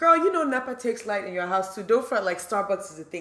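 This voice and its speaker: A woman talks at a very fast pace with lively intonation. Noticeable background noise is present. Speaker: podcast host. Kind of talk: casual chat.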